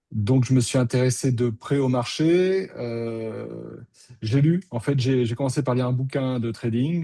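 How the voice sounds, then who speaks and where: Speaking fairly slowly, this man holds a medium pitch. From France, Bordeaux. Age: 50s. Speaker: options trader, former student. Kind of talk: testimony interview. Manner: conversational, some hesitations.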